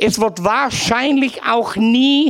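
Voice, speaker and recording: A man at an extremely high pitch and a very slow pace, with noticeable background noise. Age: old. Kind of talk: testimony. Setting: live event with audience.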